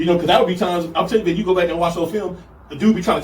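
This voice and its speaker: Here a man speaks with a high pitch. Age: 40s. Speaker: football coach. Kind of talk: casual chat.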